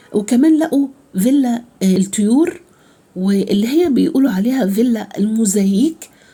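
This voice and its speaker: A woman speaks at a fairly high pitch, and her voice is somewhat breathy. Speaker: travel vlogger. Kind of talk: guided tour vlog. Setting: outdoors at archaeological site. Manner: hesitant, many fillers.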